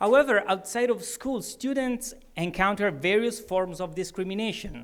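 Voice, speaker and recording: A man is speaking. He has an Italian accent. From Italy. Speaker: award ceremony speaker. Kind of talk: testimony speech.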